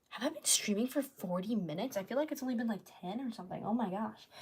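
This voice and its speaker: A woman's dark, mellow, fairly high-pitched voice with lively intonation at a very fast pace. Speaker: art streamer. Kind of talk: casual livestream chat while painting. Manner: rambling filler-heavy.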